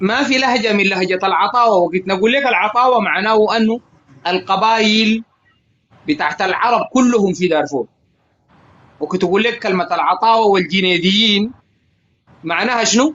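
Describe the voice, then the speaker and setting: At a moderate pace broken by long, frequent pauses, a man speaks in a high pitch with very even loudness. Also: ordinary pitch variation. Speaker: live stream guest. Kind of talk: casual debate in live stream. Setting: live stream group audio. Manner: halting, repetitive.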